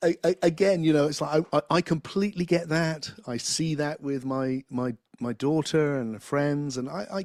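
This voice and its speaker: In a dry, close sound with no echo, a man with a fairly high pitch and ordinary pitch variation talks at a moderate pace with hardly any pauses. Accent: English. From England. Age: 60s. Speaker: philosopher and spiritual teacher. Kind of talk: interview conversation. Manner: halting, many repeated words.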